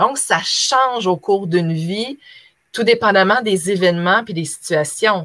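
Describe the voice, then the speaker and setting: A woman speaks in a normal speaking voice at a fairly slow pace, with lively intonation. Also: medium pitch for a woman. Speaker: former teacher, online trainer. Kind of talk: interview.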